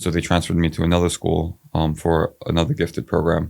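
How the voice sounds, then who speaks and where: Mumbling from a man with a very deep, low voice and an American accent on a very clean recording with a silent background. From Brooklyn, New York. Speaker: city council candidate. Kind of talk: casual interview. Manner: slight mumble; halting, many fillers.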